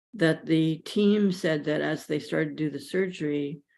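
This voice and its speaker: Over a quiet background, a woman speaks at a very deep, low pitch with fairly even intonation. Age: 70s. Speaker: guest speaker on mindfulness and pain. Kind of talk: personal testimony talk. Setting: live stream. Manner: halting.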